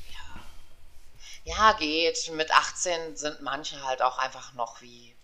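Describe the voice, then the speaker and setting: Speaking at a very slow pace with ordinary pitch variation and big swings in loudness, the voice sits over noticeable background noise. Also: woman, very deep, low pitch for a woman. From western Germany, Aachen. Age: 40s. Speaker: podcast co-host. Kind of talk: casual chat.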